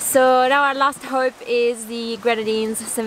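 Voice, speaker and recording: The recording carries noticeable background noise and a dry sound with no echo. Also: woman. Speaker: sailing vlogger. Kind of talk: casual vlog chat. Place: boat. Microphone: phone near.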